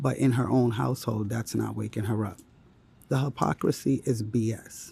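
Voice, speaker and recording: A man is whispering at a moderate pace. Vocal fry runs through his voice. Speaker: vlogger. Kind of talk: casual vlog.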